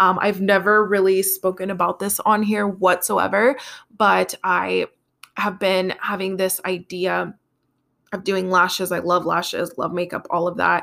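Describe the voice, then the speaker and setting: A woman speaks fairly slowly at a medium pitch, with vocal fry and a bright, sharp tone in a monotone, flat delivery. The recording is very clean, with a silent background. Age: 20s. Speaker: podcast host. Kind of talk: casual solo monologue.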